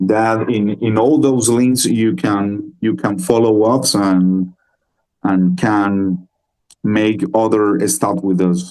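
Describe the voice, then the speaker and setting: A man with a non-native accent and a dark, mellow tone talks at a very slow pace, keeping very even loudness and ordinary pitch variation. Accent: non-native English, self-described poor. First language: Spanish. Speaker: metal band musician. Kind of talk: interview. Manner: halting.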